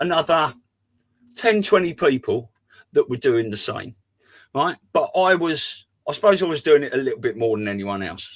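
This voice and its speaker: This man speaks in a southern English accent at a fairly high pitch, with very wide pitch swings. His pace is moderate, broken by long, frequent pauses. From southeast England (Folkestone, Kent). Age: 50s. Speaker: podcast panelist. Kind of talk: casual chat.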